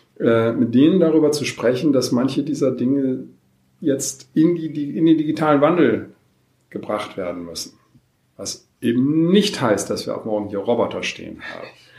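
A man's fairly high voice, dark and mellow in tone, at a moderate pace with lively intonation and big swings in loudness. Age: 50s. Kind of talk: interview. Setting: in person at guest's location, not studio.

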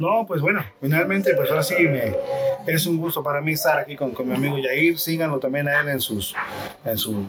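A man's fairly high voice at a moderate pace over noticeable background noise. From Mexico, Xalapa, Veracruz. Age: 40s. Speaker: marimba musician. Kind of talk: interview. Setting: café theater venue, storm outside.

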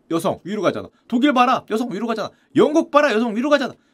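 A man speaks very fast in an extremely high pitch. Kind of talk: casual lecture commenting on a news article. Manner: animated.

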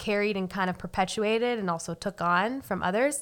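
A woman's bright, sharp tone with ordinary pitch variation comes across on a very clean recording against a silent background. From US Northeast. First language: Spanish. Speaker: podcast co-host. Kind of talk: casual conversational podcast.

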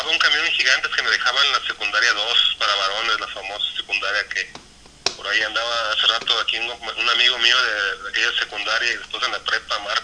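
Noticeable background noise under a man's fairly quick pace. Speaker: co-host. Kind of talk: casual chat.

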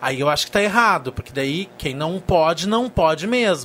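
Speaking fairly quickly, a man lets his pitch swing very wide. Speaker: journalist panelist. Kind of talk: casual chat.

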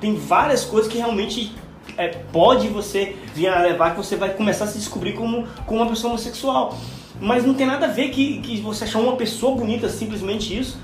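Speech moves at a fairly quick pace with ordinary pitch variation and audible room echo. Music plays in the background. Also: man, high pitch for a man. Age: 40s. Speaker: podcast co-host. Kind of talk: casual chat.

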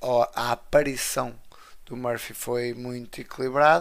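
The recording is very clean, with a silent background. A man talks at medium pitch. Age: 20s. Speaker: wrestling podcast co-host. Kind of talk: casual chat.

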